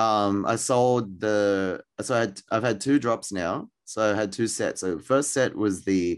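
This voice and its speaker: Speaking with an Australian accent against a quiet background, a man uses a fairly low pitch with ordinary pitch variation. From Australia, Sydney. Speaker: artist. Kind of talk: interview. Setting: remote call from a bedroom. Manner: casual, many fillers.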